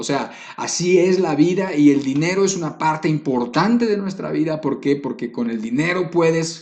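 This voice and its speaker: There is audible room echo around the speaker. A man talks at a moderate pace. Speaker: preacher. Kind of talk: sermon.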